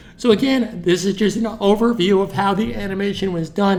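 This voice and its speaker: A man speaks at a moderate pace in a high pitch with ordinary pitch variation. Noticeable background noise runs behind him. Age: 60s. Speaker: animation tutor. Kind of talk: tutorial. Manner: casual, conversational.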